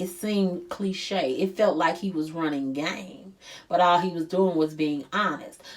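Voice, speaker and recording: In a St. Louis accent, a woman speaks at a medium pitch with ordinary pitch variation. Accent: St. Louis accent, noticeable. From US Midwest, St. Louis. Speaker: life coach. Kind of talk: motivational talk. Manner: stresses R sounds; casual, conversational.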